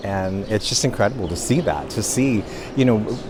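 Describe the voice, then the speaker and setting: Noticeable background noise sits behind a man at a fairly low pitch. He talks at a moderate pace with ordinary pitch variation. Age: 60s. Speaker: visitor interviewed at monument. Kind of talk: street interview.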